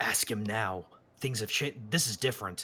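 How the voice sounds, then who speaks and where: In a put-on character voice, the speaker uses a low pitch at a moderate pace. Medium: actual play.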